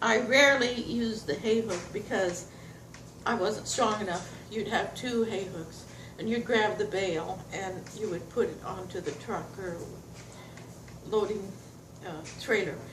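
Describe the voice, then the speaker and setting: A woman talks at a medium pitch with ordinary pitch variation and a fairly slow pace, leaving long, frequent pauses. Noticeable background noise and audible room echo fill the recording. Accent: American. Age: 80s+. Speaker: retired farmer. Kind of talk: oral history recollection. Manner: halting.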